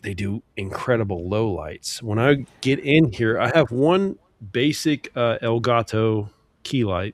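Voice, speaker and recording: In a dry, close sound with no echo, a man talks at a fairly slow pace with a medium pitch and lively intonation. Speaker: live-stream podcast co-host. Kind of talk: casual chat. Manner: soft-spoken.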